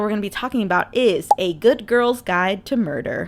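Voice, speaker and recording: Her intonation is lively and her pitch fairly high for a woman. The recording is very clean, with a silent background. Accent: Midwestern US. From US Midwest. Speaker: book reviewer, video creator. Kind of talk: casual, conversational.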